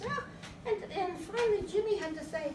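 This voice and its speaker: A woman's put-on, squeaky character voice at an extremely high pitch, at a moderate pace, over clear background noise. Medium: comedy sketch. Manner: chatty, exclamatory.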